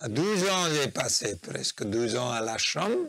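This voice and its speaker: A man's intonation is lively while he talks at a very slow pace. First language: Nepali (speaking French). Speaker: spiritual practitioner, interviewee. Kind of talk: interview, life story. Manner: halting.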